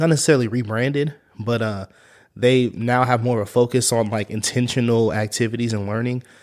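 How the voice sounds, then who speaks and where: A man with an American accent talks at a fairly quick pace and a medium pitch, with fairly even intonation. He has an unremarkable speaking voice. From Kansas, US. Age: 30s. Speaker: youth club coordinator. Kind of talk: casual interview.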